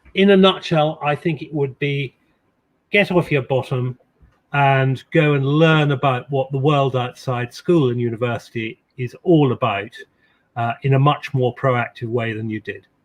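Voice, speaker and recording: Somewhat breathy and fairly high-pitched, a man speaks with ordinary pitch variation. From England, Suffolk (west). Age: 60s. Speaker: ceremonial official and insurance executive. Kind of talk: interview. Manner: halting with fillers and repetitions.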